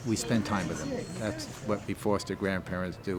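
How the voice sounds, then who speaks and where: A man talks at a moderate pace with a fairly low pitch. Music can be heard behind him. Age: 80s+. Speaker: foster grandparent volunteer. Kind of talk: interview testimony.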